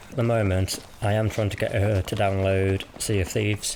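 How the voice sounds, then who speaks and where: With a British accent, a man talks at a moderate pace in a relaxed tone and fairly low pitch, with noticeable background noise behind him. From West Midlands, England (Cannock, Birmingham area). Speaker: gaming YouTuber. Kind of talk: casual vlog commentary.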